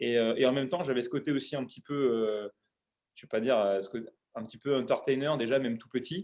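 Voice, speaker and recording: Delivering his words very fast, a man at medium pitch shows ordinary pitch variation and big swings in loudness. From Paris, France (18th arrondissement). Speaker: CrossFit coach and show creator. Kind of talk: interview, casual chat. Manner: hesitant, many fillers.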